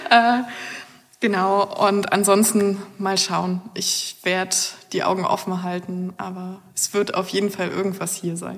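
At a fairly slow pace, a woman with a plain, everyday voice speaks in a medium pitch with fairly even intonation. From Germany, northeastern Brandenburg. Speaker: engineering master's student. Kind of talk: interview about her studies.

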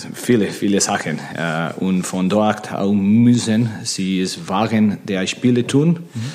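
A man with a Spanish accent, fairly low pitch and ordinary pitch variation, at a very slow pace over noticeable background noise. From Spain. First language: Spanish (speaking German). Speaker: handball coach. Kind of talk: interview. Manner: halting.

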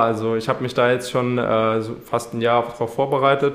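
Noticeable background noise sits behind this man's voice. He speaks at a medium pitch with monotone, flat intonation. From Saarland, Germany. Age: 20s. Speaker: triathlete and student. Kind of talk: interview. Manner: hesitant, many fillers.

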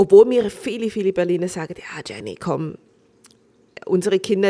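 Here a woman has an unremarkable speaking voice with a medium pitch. She talks at a moderate pace with fairly even intonation. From Switzerland. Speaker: restaurant owner and actress. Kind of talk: casual chat.

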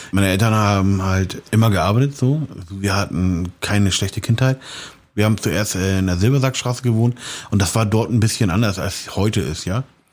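A fairly low-pitched man with a slight Hamburg accent at a fairly quick pace. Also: ordinary pitch variation. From Hamburg, St. Pauli. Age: 40s. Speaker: street art painter. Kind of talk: interview. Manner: casual, many fillers.

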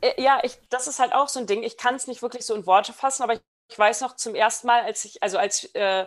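A woman's voice with ordinary pitch variation. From international upbringing, New York and Berlin. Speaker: behavioral genetics researcher. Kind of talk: casual interview. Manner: halting, many fillers.

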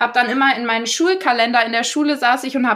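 Her voice is high-pitched, raised and projected, with a bright, sharp tone. The woman speaks at a fairly quick pace with ordinary pitch variation. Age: 20s. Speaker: trained teacher and influencer sharing eating disorder story. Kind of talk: casual interview.

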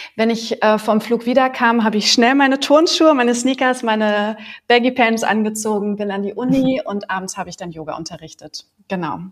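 An ordinary speaking voice, a woman at a fairly high pitch and fairly quick pace, with big swings in loudness and ordinary pitch variation. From Berlin. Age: 40s. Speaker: yoga teacher. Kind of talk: interview.

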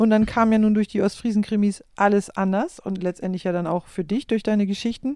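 Recorded very cleanly against a silent background, a woman speaks at medium pitch with a dark, mellow tone, fairly even intonation and a fairly quick pace. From East Frisia, Germany. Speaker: podcast host and musician. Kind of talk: interview conversation. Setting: in a living room at home.

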